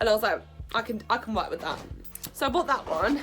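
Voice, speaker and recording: Over music in the background, a woman talks at a very fast pace, her high pitch making very wide swings. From England. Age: 20s. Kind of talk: casual talk to camera, vlog. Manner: casual, chatty.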